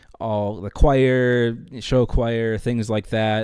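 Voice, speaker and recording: Speaking with fairly even intonation, a man has an unremarkable speaking voice at a medium pitch. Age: 20s. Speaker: podcast co-host and theater performer. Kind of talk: casual chat.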